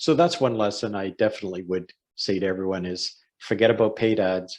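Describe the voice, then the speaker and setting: In an unremarkable speaking voice, a man with a fairly low pitch talks at a fairly quick pace with ordinary pitch variation against a quiet background. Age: 60s. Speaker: online marketing entrepreneur. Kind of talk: podcast interview. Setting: call.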